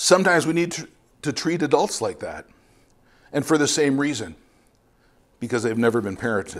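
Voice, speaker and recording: A man with a Canadian accent talks at a fairly quick pace with a fairly high pitch, lively intonation, vocal fry and long, frequent pauses. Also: very clean recording, silent background. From Ontario, Canada. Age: 50s. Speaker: missionary preacher. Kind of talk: sermon. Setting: church.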